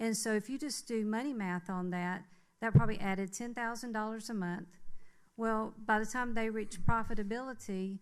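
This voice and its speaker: A woman's fairly high voice at a moderate pace. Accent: Southern US. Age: 60s. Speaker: public commenter at city council meeting. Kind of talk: public comment. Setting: city council meeting. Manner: hesitant, many fillers.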